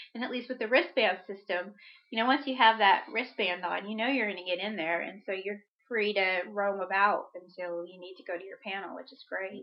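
A woman speaks at a fairly quick pace in a plain, everyday voice, her pitch medium with ordinary variation. Her loudness swings widely. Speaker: podcast co-host.

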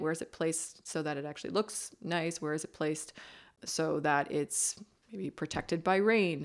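A woman's fairly low voice with a Maritime Canadian accent, fairly even intonation, and a very clean recording over a silent background. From Nova Scotia, Canada (Bridgewater). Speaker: architect. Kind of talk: interview. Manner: hesitant, with fillers and restarts.

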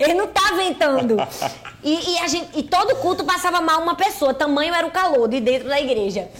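Over noticeable background noise, a woman with an extremely high pitch speaks fairly quickly at a very even loudness, her intonation lively. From Northeast Brazil. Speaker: pastor. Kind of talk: casual chat.

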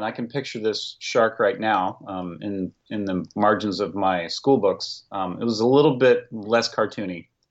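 An unremarkable speaking voice with ordinary pitch variation, delivered at a moderate pace. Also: man. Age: 50s. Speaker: cartoonist. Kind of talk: casual chat.

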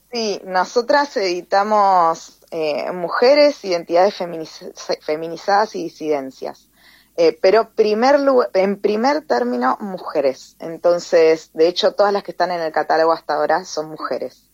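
Speaking fairly slowly, a woman at medium pitch lets her voice move in very wide pitch swings. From Tierra del Fuego, Argentina. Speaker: poet and teacher. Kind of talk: interview.

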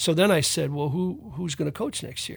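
A somewhat breathy voice speaks at a very fast pace on a very clean recording with a silent background. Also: man. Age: 80s+. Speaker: retired soccer coach. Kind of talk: casual interview chat.

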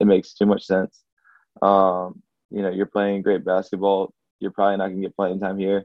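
Speaking in a flat monotone with an Alabama accent, a man keeps a fairly low pitch and a moderate pace. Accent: US Southern (Alabama). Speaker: college basketball player. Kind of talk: casual interview. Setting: conference call.

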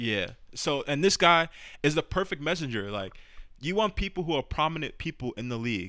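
A man with a bright, sharp tone and vocal fry speaks at a fairly high pitch and a fairly quick pace, his pitch swinging very widely, on a very clean recording with a silent background. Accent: New York. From New York City, the Bronx. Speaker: podcast host. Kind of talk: casual chat.

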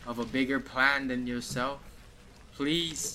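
Someone reads out loud, reading aloud in a natural voice.

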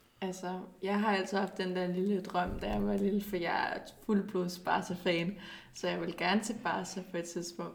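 Monotone, flat speech from a woman at a medium pitch, with vocal fry and a fairly slow pace. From Denmark, Zealand. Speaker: professional footballer. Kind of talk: casual interview.

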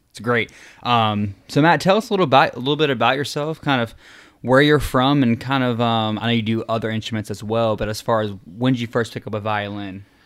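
On a very clean recording with a silent background, a man speaks at a medium pitch. He talks at a very fast pace with ordinary pitch variation. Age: 20s. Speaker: podcast host. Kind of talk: casual chat.

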